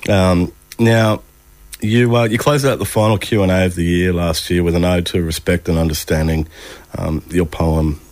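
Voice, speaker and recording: Through noticeable background noise comes a man's very deep, low pitch with ordinary pitch variation. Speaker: radio host. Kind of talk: radio interview, casual chat. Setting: radio studio.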